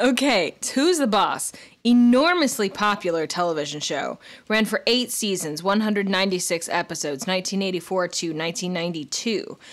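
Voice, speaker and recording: With lively intonation, a woman speaks at a fairly quick pace in a normal speaking voice. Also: medium pitch for a woman. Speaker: podcast host. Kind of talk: casual chat.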